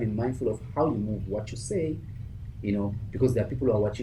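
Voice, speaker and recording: A man's voice comes across somewhat breathy with a dark, mellow tone. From South Africa, Cape Town. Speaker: life coach and motivational speaker. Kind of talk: interview answer. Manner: energetic.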